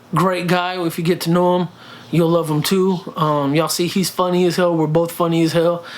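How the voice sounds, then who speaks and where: A man speaks in a high voice at a moderate pace, with very even loudness and flat, monotone intonation. Noticeable background noise runs behind him. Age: 30s. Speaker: vlogger and fitness journey creator. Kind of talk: casual vlog Q&A. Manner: speaks from the throat, friendly tone; halting, many fillers and repeats.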